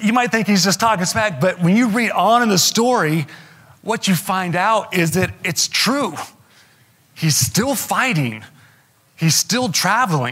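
Over noticeable background noise, a man speaks in a raised, projected voice at a fairly slow pace with lively intonation. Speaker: pastor. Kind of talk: sermon. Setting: church.

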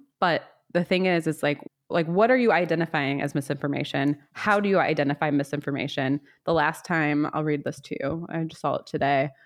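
A woman with an American accent, very deep and low in pitch, fairly even in intonation and fairly quick, on a very clean recording with a silent background. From US South. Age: 30s. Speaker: podcast host. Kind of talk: casual chat.

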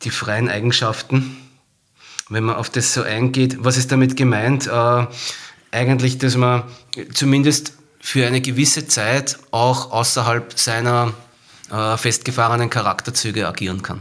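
A man speaks fairly slowly at medium pitch, in a monotone, flat intonation. His pauses are long and frequent. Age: 40s. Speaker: marketing professional and non-fiction author. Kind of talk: casual chat about a book.

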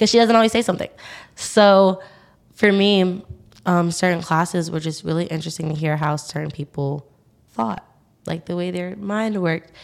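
A woman with an American accent, her pitch fairly low, ordinary pitch variation, a moderate pace with long, frequent pauses, on a very clean recording over a silent background. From Staten Island, New York City. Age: young. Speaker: university student. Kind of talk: interview conversation. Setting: pop-up podcast studio. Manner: animated.

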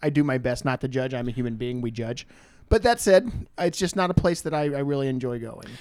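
Talking at a very fast pace, a man with an American accent keeps a medium pitch with ordinary pitch variation. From rural Missouri. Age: 30s. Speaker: podcast guest. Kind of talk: casual chat.

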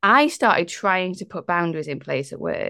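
A woman with a medium pitch, lively intonation and vocal fry talks on a very clean recording with a silent background. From northern England. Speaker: coach, former lawyer. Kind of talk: casual interview conversation.

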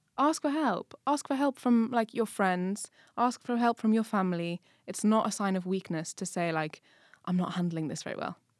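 The voice moves at a moderate pace with lively intonation, recorded dry and close with no echo on a very clean track with a silent background. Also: woman, medium pitch for a woman. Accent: English. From England. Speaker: podcast co-host. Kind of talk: casual chat.

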